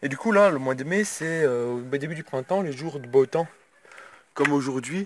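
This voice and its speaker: Pitched fairly high, a man talks with pitch that varies the usual amount. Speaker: vlogger and hobby beekeeper. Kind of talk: casual vlog. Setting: in a car. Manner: fast.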